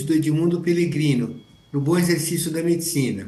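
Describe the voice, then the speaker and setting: Over noticeable background noise and audible room echo, a man speaks at a moderate pace with a fairly high pitch and ordinary pitch variation. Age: 70s. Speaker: physician. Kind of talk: panel discussion. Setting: auditorium.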